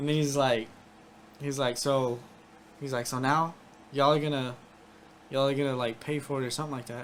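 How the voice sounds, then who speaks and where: A soft-spoken man with a fairly high pitch talks at a fairly quick pace in a monotone, flat intonation, broken by long, frequent pauses. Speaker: army veteran. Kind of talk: casual chat. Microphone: sounds far from the mic.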